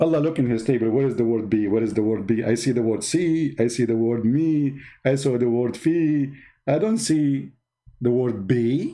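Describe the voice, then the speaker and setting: In a non-native accent, a man with a dark, mellow tone speaks at medium pitch and a moderate pace, with ordinary pitch variation, very even loudness and a quiet background. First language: not English. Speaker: religious commentator. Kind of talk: mocking commentary. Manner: animated.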